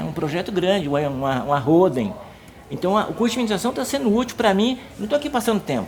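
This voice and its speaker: A man speaks in a high voice with very wide pitch swings. Noticeable background noise runs behind him. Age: 60s. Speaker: senior university student. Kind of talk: documentary interview. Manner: halting, repeats words.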